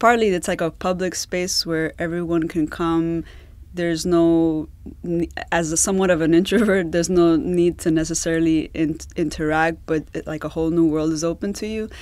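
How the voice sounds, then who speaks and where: Over a quiet background, the speech moves at a moderate pace with fairly even intonation. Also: woman, fairly low pitch for a woman. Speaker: podcast guest. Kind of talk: interview answer. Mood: warm, light laughter. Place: booth. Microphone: studio mic.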